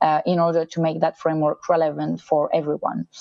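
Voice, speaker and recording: A woman with a French accent talks at a fairly quick pace. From France. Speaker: sustainability consultant in motorsport. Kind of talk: online masterclass talk. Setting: virtual event. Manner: hesitant, many fillers.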